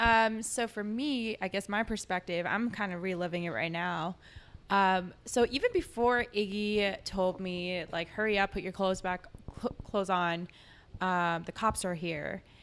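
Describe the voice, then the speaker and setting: In a plain, everyday voice, a woman talks at a fairly slow pace and medium pitch with ordinary pitch variation. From Korean immigrant family, US. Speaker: guest. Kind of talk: casual chat.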